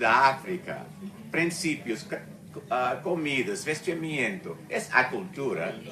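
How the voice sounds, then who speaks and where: Amid audible room echo and noticeable background noise, a man with a fairly high pitch speaks at a very slow pace. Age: 70s. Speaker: retired museum researcher and speaker. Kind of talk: talk at a discussion circle. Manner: halting, many fillers and self-corrections.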